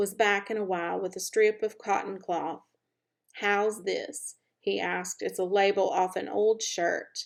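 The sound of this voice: An unforced reading voice carries fairly even intonation. Behind it, the background is quiet.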